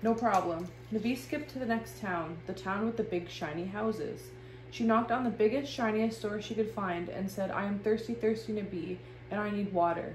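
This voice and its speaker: With music behind her and audible room echo, a woman speaks at a medium pitch and a fairly quick pace, her pitch varying in an ordinary way. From Ontario, Canada (Rama First Nation). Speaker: illustrator and artist. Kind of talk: children's story reading. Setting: art studio.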